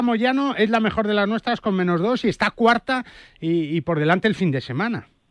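A man's high-pitched voice with lively intonation in a dry, close sound with no echo. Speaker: golf radio host. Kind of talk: sports radio show.

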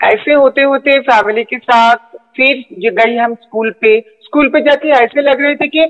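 A woman's high-pitched voice shows ordinary pitch variation. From Kolkata, West Bengal, India. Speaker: transgender judge and activist. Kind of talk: interview.

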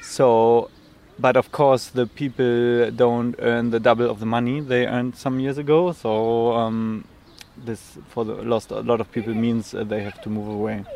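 This speaker has a German accent and a very slow pace. The intonation stays fairly even. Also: man, medium pitch for a man. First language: German (speaking Danish). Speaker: flat seeker. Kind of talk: interview.

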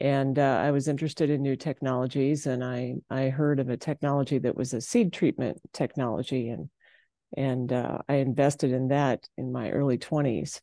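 A woman with an Upper Midwest accent speaks at a moderate pace with a very deep, low pitch and fairly even intonation, in a dry, close sound with no echo. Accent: Upper Midwest American. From South Dakota, Kimball. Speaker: farmer, rancher and entrepreneur. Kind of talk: interview.

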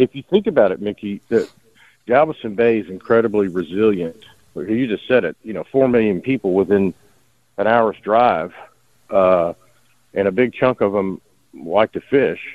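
A man with a Texas accent talks at a moderate pace. His pitch varies in an ordinary way, and he takes long, frequent pauses. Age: 50s. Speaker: caller. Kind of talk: casual chat.

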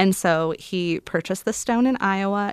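In a Midwestern American accent, the speaker comes through in a very clean recording with a silent background. The sound is dry and close, with no echo. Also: woman. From Illinois. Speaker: travel writer and author. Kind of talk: interview.

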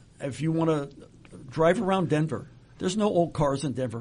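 With a somewhat breathy voice, a man talks at a moderate speed. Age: 70s. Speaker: retirement planning expert. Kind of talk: casual interview. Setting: studio.

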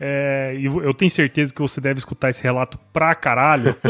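Fairly high-pitched male voice at a moderate pace, dry and close with no echo, music playing behind. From Mato Grosso, Brazil (Cuiabá, Rondonópolis). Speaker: agronomist and podcaster. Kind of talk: casual chat.

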